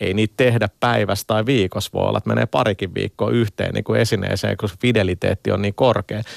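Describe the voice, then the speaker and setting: Dry and close with no echo, a man's fairly low voice carries vocal fry as he talks at a fairly quick pace with fairly even intonation. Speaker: game company communications director. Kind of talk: radio interview. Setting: studio. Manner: halting, many repetitions and fillers.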